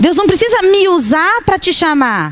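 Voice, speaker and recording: A woman speaks over noticeable background noise. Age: 50s. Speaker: pastor. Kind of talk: sermon. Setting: church camp service with audience.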